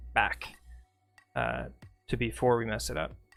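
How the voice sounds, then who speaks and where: Very rapid male speech over background music. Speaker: streamer teaching photo editing. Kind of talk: live tutorial. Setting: live stream. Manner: fast.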